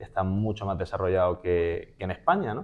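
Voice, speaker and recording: A man with an ordinary speaking voice, fairly even intonation and a fairly quick pace. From Spain, Málaga (Andalusia). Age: 20s. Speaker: public speaking champion and trainer. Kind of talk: interview conversation.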